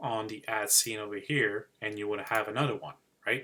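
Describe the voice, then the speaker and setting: A man with a strong Quebec accent speaks at a moderate pace in a bright, sharp tone. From Quebec City, Canada. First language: French. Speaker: digital marketing YouTuber. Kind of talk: live-stream tutorial. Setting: live stream screen share. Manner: hesitant, many fillers.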